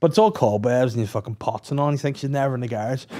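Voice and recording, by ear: Speaking at a very fast pace, a man uses a medium pitch with ordinary pitch variation and a dark, mellow tone.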